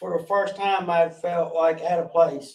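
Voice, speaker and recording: Here is a man with a strong Southern US accent. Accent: strong rural Southern (country). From North Carolina, Gaston County. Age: 40s. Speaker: guest in recovery sharing addiction story. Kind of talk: interview testimony. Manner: halting, with many fillers.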